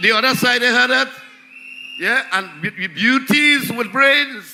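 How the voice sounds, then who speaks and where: Over noticeable background noise, a man with an extremely high pitch projects a raised voice at a fairly slow pace. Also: ordinary pitch variation. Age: 70s. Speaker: local councillor. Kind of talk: political rally speech.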